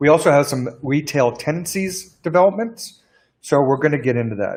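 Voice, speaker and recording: This man has an ordinary speaking voice with a fairly high pitch. His intonation is lively and his pace moderate. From Canada. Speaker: business lawyer. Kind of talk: webinar Q&A presentation. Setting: live stream webinar.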